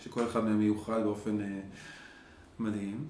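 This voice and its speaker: There is audible room echo as a man speaks at a fairly low pitch with fairly even intonation. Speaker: grief and dialogue facilitator. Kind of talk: interview. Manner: halting.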